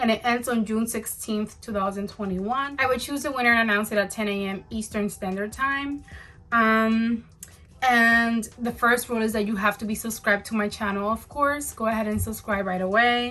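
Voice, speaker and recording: Bright and sharp in tone, the voice keeps a fairly even intonation in a very clean recording with a silent background. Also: woman, fairly high pitch for a woman. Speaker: beauty youtuber. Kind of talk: casual vlog talk to camera. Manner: fast.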